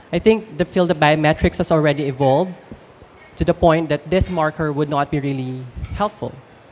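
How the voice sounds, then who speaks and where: Noticeable background noise behind fairly quick speech. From Philippines. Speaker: presenter on gender identity. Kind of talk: audience Q&A. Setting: stage with audience.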